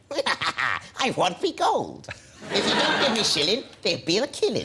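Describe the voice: A put-on character voice at a fairly high pitch moves at a moderate pace over clear background noise.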